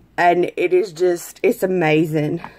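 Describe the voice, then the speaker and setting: Her speech is very slow. This woman has an American accent. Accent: country accent, others tease it. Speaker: makeup and skincare seller. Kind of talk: makeup tutorial. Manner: casual, chatty.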